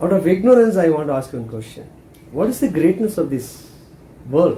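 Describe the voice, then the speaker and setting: A man speaks at a moderate pace with a Tamil accent, his high-pitched voice dark and mellow in tone and swinging very widely in pitch. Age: 70s. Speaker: spiritual teacher. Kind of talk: spiritual talk.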